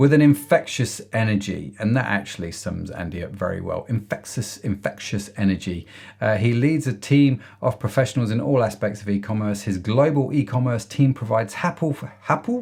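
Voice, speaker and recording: Speaking with an English accent, a man sounds somewhat breathy and uses lively intonation. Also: medium pitch for a man, moderate pace. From England. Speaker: podcast host. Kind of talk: podcast interview.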